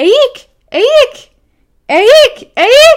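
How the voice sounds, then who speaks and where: This put-on character voice is extremely high-pitched, shrill and squeaky. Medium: read story.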